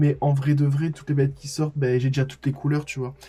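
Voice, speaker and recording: This man's voice sits at a fairly high pitch and sounds somewhat breathy. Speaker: makeup artist and youtuber. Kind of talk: vlog tutorial. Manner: fast; stammering. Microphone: recorded without external mic.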